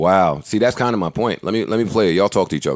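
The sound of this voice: Speaking fast with lively intonation, a man's low voice comes through a very clean recording with a silent background.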